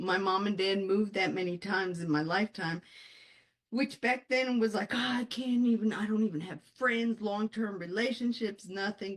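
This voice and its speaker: Animated in tone, a woman speaks at a medium pitch and a moderate pace. Her pitch varies in an ordinary way. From born in Colombia, raised in the US. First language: Spanish. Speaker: author and life coach, Air Force veteran. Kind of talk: interview.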